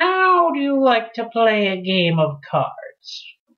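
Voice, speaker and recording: A female-sounding put-on character voice, fairly high in pitch, with very wide pitch swings and a very slow pace. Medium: read story. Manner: speaking together as a pair.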